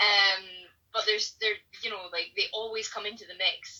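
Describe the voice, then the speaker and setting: This woman has a Scottish accent and a medium-pitched voice. She talks at a moderate pace with fairly even intonation. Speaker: painter. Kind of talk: casual chat. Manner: hesitant, many fillers.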